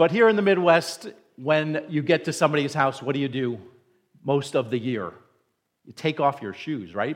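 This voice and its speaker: With an American accent and an unremarkable speaking voice, a man talks at a moderate pace in a fairly high pitch, his intonation lively against a quiet background. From New Jersey, near New York City. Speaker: pastor. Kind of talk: sermon. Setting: church.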